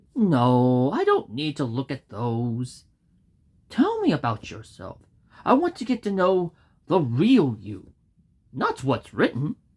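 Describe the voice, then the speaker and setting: Using a put-on character voice, the speaker sounds cheerful in a low-to-middle pitch and leaves long, frequent pauses. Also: fairly slow pace. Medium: read story. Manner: cheerful, folksy.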